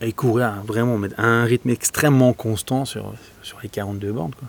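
This man has an unremarkable speaking voice at a medium pitch, moving at a fairly slow pace with fairly even intonation. His loudness swings widely, and the sound is dry and close with no echo. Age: 40s. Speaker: agile coach and entrepreneur. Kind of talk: interview.

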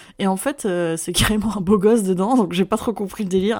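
Her delivery is very fast. The woman's pitch shifts about as much as usual. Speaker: podcast co-host. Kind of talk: casual chat. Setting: remote recording.

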